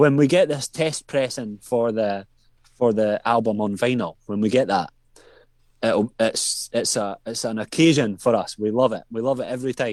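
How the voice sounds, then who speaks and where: Recorded very cleanly against a silent background, a man with a Scottish accent speaks at a moderate pace with ordinary pitch variation. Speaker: metal band drummer. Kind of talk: interview.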